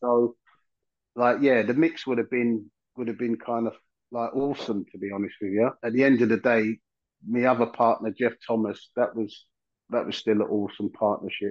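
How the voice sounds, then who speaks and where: With a London accent, a man speaks at a moderate pace, his medium pitch carried by fairly even intonation. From South London. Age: 50s. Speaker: former footballer. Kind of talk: casual chat.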